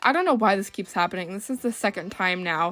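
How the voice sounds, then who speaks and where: A woman's voice moves through very wide pitch swings. Music plays in the background. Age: 20s. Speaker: doll collector YouTuber. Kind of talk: casual vlog; voice-over narration. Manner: chatty, rambling.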